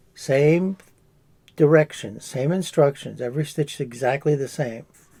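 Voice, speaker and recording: A man with an American accent speaks at a fairly slow pace in a dark, mellow tone. His voice is somewhat breathy, with ordinary pitch variation. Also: fairly high pitch for a man. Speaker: crochet artist. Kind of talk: crafting tutorial. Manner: casual, hesitant with fillers.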